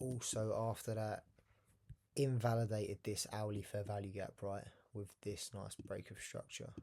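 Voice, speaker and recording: With a fairly low pitch and a dark, mellow tone, a man speaks somewhat breathily in a flat monotone at a fairly slow pace, leaving long, frequent pauses. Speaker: day trader. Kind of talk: trading tutorial.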